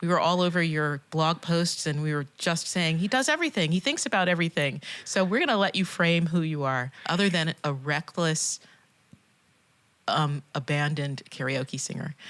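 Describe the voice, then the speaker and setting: On a very clean recording with a silent background, a woman with an unremarkable speaking voice talks at a moderate pace and fairly low pitch, with ordinary pitch variation. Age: 50s. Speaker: podcast co-host. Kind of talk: interview.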